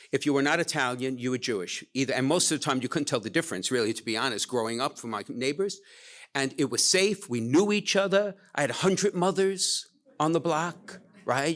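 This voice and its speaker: Lively intonation marks this man's fairly high-pitched voice with a Brooklyn accent, delivered at a fairly quick pace on a very clean recording with a silent background. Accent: New York (Brooklyn). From Brooklyn, New York, US. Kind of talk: casual chat. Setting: stage with audience.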